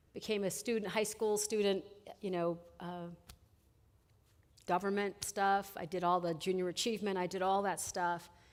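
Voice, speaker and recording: Over a very clean, silent background, a woman with a medium pitch talks at a moderate pace in a flat monotone, leaving long, frequent pauses. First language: Spanish. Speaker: college administrator. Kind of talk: chapel talk. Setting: college chapel. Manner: conversational.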